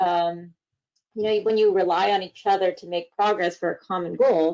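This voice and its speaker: This is a normal speaking voice moving at a fairly quick pace. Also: woman. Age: 20s. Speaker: data analyst, panelist. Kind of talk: panel introduction talk.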